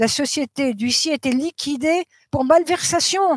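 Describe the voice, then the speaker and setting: A woman with a high pitch speaks at a fairly slow pace in a very clean recording with a silent background and a dry, close sound with no echo. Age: 80s+. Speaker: medium and author. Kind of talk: interview testimony. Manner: hesitant, many fillers.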